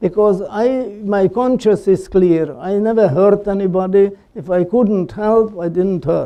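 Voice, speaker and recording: This man speaks at a fairly slow pace in a high pitch, with hardly any pauses. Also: ordinary pitch variation. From Slovakia. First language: Slovak. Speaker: Holocaust survivor and columnist. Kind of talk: talk with audience questions. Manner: halting, many fillers.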